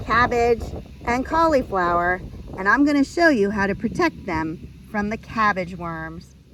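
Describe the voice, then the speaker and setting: A woman's medium-pitched voice with very wide pitch swings, at a fairly slow pace, over noticeable background noise. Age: 50s. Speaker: homesteader. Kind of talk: outdoor tutorial vlog.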